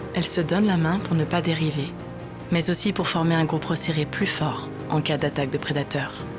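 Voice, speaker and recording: A woman's fairly low voice at a moderate pace, with fairly even intonation and music in the background. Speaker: voice actor. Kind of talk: documentary narration.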